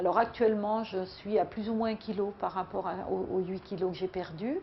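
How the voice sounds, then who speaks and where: Here a woman speaks at a medium pitch. Her pace is fairly slow. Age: 60s. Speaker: weight-loss program member. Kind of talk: testimony. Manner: halting.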